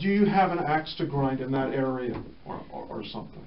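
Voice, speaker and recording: A man speaks at a moderate pace with lively intonation over light background noise. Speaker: radio show host. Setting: radio studio. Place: studio.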